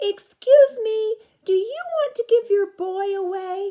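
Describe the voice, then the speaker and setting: A loud, squeaky put-on character voice at an extremely high pitch and a fairly slow pace. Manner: loud but very polite.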